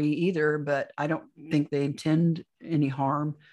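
A woman's very deep, low voice in a monotone, flat intonation over a quiet background. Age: 60s. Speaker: alien abduction experiencer and author. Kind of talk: interview testimony.

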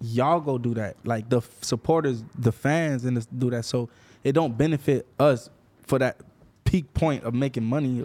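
A man with an American accent, dark and mellow in tone, at a moderate pace with fairly even intonation. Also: medium pitch for a man. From Florida. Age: 30s. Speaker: music manager and rapper. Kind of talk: casual interview.

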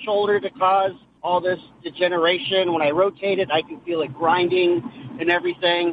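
A man speaks at a moderate pace with a high pitch and ordinary pitch variation over noticeable background noise. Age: 50s. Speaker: high school teacher and coach. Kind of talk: casual chat. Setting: phone call.

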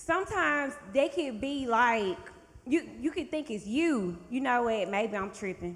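With an American accent, a woman speaks high and at a fairly slow pace, her pitch swinging very widely. Noticeable background noise sits behind her. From Georgia, US (Thomaston). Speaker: bartender and visual merchandiser. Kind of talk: casual chat.

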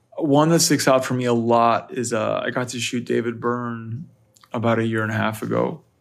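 Speaking with an American accent at a moderate pace, a man uses a plain, everyday voice of medium pitch and fairly even intonation. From US, Northern Virginia. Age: 30s. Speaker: music photographer. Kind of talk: casual interview.

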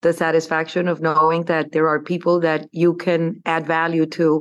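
With a Spanish accent, a woman speaks at a moderate pace in a very deep, low-pitched voice. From Colombia (Bogota). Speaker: investment firm CEO. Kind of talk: interview.

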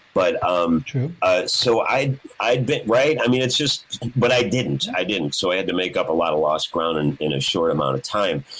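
Over noticeable background noise, a man at a medium pitch makes very wide pitch swings. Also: moderate pace. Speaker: guitarist. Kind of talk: casual chat. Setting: video call.

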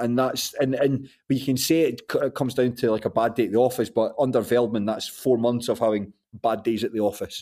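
Speaking with a Scottish accent and a dark, mellow tone, the voice moves at a fairly quick pace with hardly any pauses. Loudness is very even, intonation fairly even, and the recording very clean with a silent background. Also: man, medium pitch for a man. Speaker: football podcast host. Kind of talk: casual chat.

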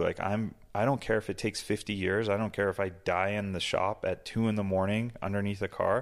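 With an American accent, an ordinary speaking voice moves at a fairly quick pace on a very clean recording with a silent background. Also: man. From Massachusetts. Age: 40s. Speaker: business owner. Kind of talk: casual interview. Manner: casual, filler-heavy.

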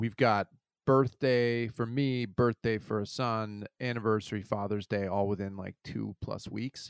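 At a fairly slow pace, a man with an unremarkable speaking voice talks in a fairly low pitch with fairly even intonation, the sound dry and close with no echo. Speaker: father of child with Down syndrome. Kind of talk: casual chat. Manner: soft-spoken. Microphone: too quiet.

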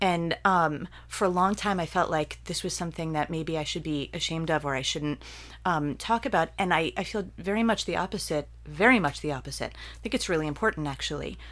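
A woman's very deep, low voice with vocal fry and an American accent, at a fairly quick pace, in a very clean recording over a silent background. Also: ordinary pitch variation. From central New Jersey. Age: 50s. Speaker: poet and visual artist. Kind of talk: casual interview. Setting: at her home.

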